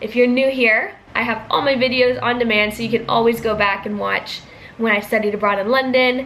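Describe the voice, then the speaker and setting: A woman with an American accent speaks at a fairly high pitch and with fairly even intonation. Room echo is audible, and background noise is noticeable. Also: fairly quick pace. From US, California and Georgia. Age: 20s. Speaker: vlogger, student. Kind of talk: casual Q&A vlog.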